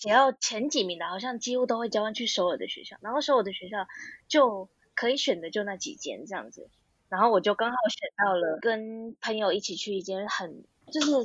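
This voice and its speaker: Talking at a fairly quick pace, a woman uses a fairly high voice with lively intonation and big swings in loudness. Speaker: graduate student and part-time translator. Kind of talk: casual interview chat.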